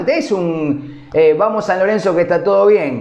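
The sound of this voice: A slightly mellow tone over faint background noise. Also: man.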